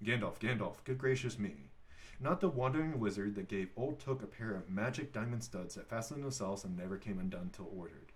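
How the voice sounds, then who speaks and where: Somewhat breathy, a man at medium pitch talks at a fairly quick pace with lively intonation. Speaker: father reading aloud. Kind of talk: read-aloud audiobook. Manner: halting, with stumbles.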